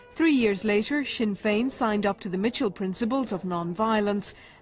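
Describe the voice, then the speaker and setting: Her voice is somewhat breathy and fairly high for a woman. She keeps a moderate pace and ordinary pitch variation. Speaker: documentary narrator. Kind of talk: documentary narration, scripted. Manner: measured, grave, even.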